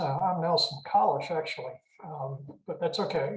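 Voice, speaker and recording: This man has a high pitch and speaks with an American accent. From Richmond, Virginia, US South. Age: 70s. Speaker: author, retired mental health clinician. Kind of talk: interview. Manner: halting with many fillers.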